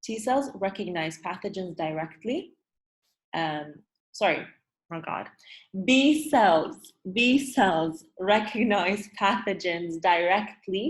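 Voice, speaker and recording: A woman at a medium pitch speaks at a very slow pace with lively intonation, a somewhat breathy sound, and long, frequent pauses. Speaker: teacher. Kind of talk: online review lesson. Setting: video call.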